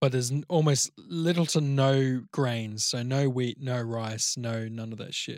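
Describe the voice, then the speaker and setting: A man with a plain, everyday voice speaks at medium pitch and a fairly slow pace. His intonation is fairly even, with hardly any pauses. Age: young. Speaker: podcast co-host. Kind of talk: casual chat.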